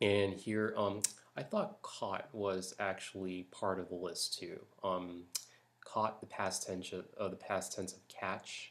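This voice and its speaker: A soft-spoken man talks at a very slow pace. His loudness swings widely. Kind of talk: accent tag word list and casual talk to camera.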